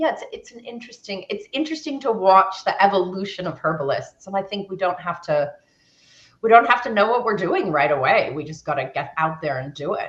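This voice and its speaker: A woman speaks at a medium pitch and a fairly quick pace, her voice somewhat breathy. Her pitch swings very widely and her loudness shifts a lot. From US West Coast, San Francisco. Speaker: naturopath and sports nutritionist. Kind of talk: interview.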